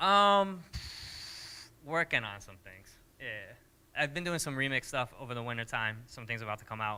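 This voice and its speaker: A man with an American accent has a bright, sharp tone, lively intonation, and big swings in loudness. He leaves long, frequent pauses on a very clean recording with a silent background. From US Northeast, suburban Connecticut. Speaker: DJ and music producer. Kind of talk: casual interview. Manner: fast.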